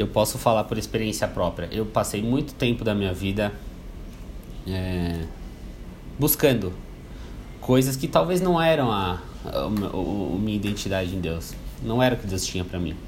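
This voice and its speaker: A man's fairly low voice with lively intonation, long and frequent pauses, and audible room echo. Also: moderate pace. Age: 20s. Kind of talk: motivational talk. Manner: halting, repetitive fillers.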